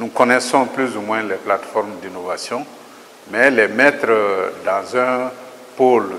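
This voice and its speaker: Over light background noise, a man talks at a fairly slow pace with ordinary pitch variation. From Mali. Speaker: agricultural research director. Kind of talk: interview statement. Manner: formal. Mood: calm, formal.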